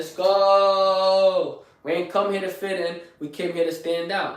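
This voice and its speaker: Energetic in tone, a man with a high-pitched voice talks with a Bronx accent. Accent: New York, Bronx. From New York, the Bronx. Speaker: live streamer, fitness motivator. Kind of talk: motivational live stream talk. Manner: energetic, hyped; fast.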